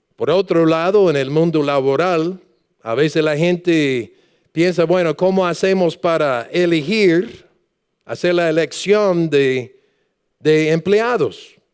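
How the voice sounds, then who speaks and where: A man speaks at a very slow pace. His voice is high-pitched. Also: ordinary pitch variation. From United States. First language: English (speaking Spanish). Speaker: pastor. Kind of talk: sermon. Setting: church.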